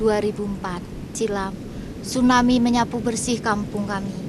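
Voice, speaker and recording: At a moderate pace, a monotone, flat voice speaks over noticeable background noise, with audible room echo. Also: woman. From Aceh, Indonesia. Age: 40s. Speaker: tsunami survivor. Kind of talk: testimony.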